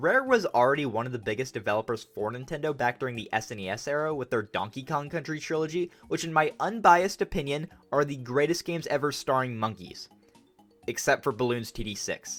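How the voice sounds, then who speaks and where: A man with a fairly high pitch, lively intonation and a fairly quick pace, with music in the background. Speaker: gaming youtuber. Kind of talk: video essay narration. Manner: casual, sarcastic.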